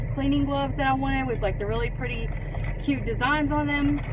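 A woman speaks over loud background noise. The sound itself is dry, with no echo. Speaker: vlogger. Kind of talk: casual vlog chat. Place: car. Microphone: phone near.

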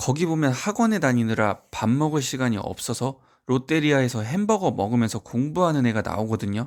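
Here a man has an unremarkable speaking voice at a medium pitch. He talks at a fairly quick pace with lively intonation on a very clean recording with a silent background. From rural provincial South Korea. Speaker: private academy tutor and education YouTuber. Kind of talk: scripted talk to camera. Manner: formal.

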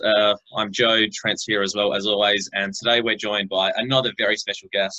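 Speaking in an Australian accent, a man moves along at a fairly quick pace. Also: quiet background. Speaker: podcast host. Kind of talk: casual chat. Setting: video call. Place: home room. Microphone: video call.

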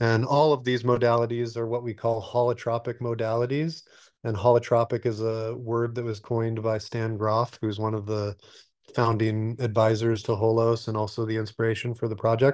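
Delivered at a moderate pace over a quiet background, the speech has a monotone, flat intonation. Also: man. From Alaska. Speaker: retreat center developer. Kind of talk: interview. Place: home room. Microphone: webcam.

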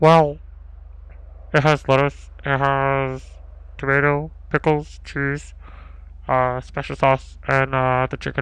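Someone performs a put-on character voice at low-to-middle pitch and a fairly slow pace. Long, frequent pauses break up the speech. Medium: game stream. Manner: casual, unhurried.

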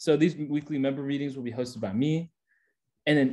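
In an American accent, the voice moves at a fairly quick pace with fairly even intonation and a dark, mellow tone. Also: man. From California, Bay Area; California. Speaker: student club officer. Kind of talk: presentation. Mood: light, joking, friendly. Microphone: video call.

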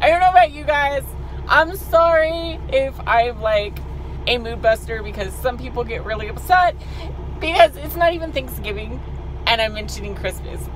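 A woman speaks at a moderate pace with big swings in loudness. The sound is dry with no echo, over light background noise. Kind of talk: casual vlog chat. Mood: cheerful, chatty. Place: car. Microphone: phone near.

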